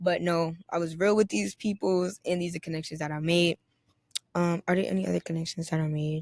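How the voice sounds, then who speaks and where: In a dry, close sound with no echo, a woman with an American accent and a fairly low pitch talks at a very fast pace in an animated tone, with ordinary pitch variation. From New York City. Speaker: podcaster. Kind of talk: casual vlog-style monologue.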